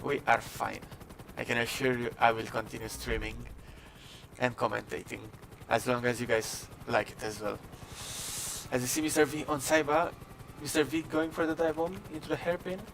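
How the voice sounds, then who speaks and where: Amid noticeable background noise, someone with a non-native accent speaks at a moderate pace with ordinary pitch variation and long, frequent pauses. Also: man, medium pitch for a man. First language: not English. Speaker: esports race commentator. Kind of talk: live commentary.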